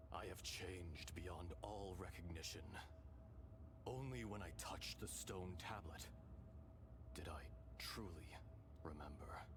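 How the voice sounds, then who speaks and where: A man's put-on character voice at a fairly slow pace, over loud background noise. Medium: fan dub. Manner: calm, measured.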